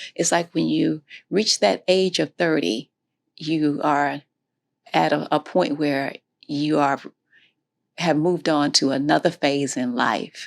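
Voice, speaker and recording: A woman with an American accent speaks in a very deep, low pitch with vocal fry and ordinary pitch variation. Her very slow delivery has long, frequent pauses, and the sound is dry and close with no echo. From Florida. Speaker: interviewee sharing life story. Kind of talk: interview. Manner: halting.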